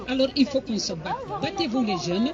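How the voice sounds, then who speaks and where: Against crowd noise in the background and audible room echo, the speaker moves at a moderate pace with very wide pitch swings. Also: woman. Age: 70s. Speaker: activist speaker at rally. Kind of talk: rally speech.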